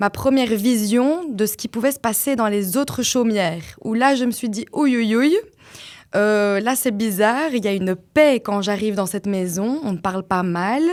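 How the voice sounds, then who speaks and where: A woman's fairly high voice in a Liège accent, on a very clean recording with a silent background. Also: ordinary pitch variation, moderate pace. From Belgium, Flanders (Liège-area French). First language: Dutch (speaking French). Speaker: podcast guest, mother, former teacher. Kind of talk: personal testimony in interview. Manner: hesitant, many fillers.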